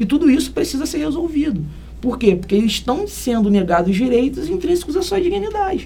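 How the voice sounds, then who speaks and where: Amid noticeable background noise and audible room echo, a man with an extremely high pitch talks at a fairly quick pace with very wide pitch swings. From Brazil, Niterói (Rio de Janeiro state). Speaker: criminal lawyer, human rights coordinator. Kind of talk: interview.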